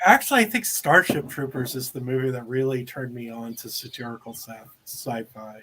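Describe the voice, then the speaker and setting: This man talks at a fairly quick pace in a bright, sharp tone with ordinary pitch variation. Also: medium pitch for a man, big swings in loudness. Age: 40s. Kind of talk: casual chat.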